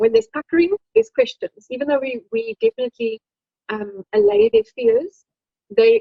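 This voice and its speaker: Her voice is high-pitched and her intonation lively as this woman speaks. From South Africa. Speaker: dermatologic surgeon. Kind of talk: lecture. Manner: fast.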